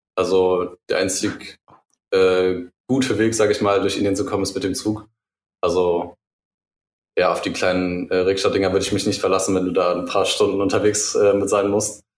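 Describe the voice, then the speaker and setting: A man talks at a moderate pace in a fairly low voice. His intonation is monotone and flat, broken by long, frequent pauses. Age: 20s. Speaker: student and former fashion label founder. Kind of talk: casual chat.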